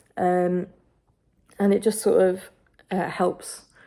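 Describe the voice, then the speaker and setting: In a British accent, the speaker's dark, mellow tone stays monotone and flat on a very clean recording with a silent background. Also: woman. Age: 20s. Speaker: video creator with Tourette's. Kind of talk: casual vlog talk. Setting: at home, in bedroom. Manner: halting, many fillers.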